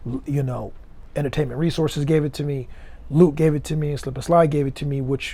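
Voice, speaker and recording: Somewhat breathy and fairly high in pitch, a man talks at a very fast pace with fairly even intonation. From Jamaica (Kingston), raised in Miami from age ten. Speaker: music executive. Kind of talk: interview.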